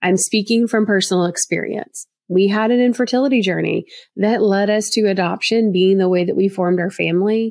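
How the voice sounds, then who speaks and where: A woman with a Southern US accent speaks at medium pitch in a warm tone. Her intonation stays fairly even in a very clean recording with a silent background. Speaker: adoption profile expert and podcast host. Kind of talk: podcast monologue, informative and friendly. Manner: warm, friendly, conversational.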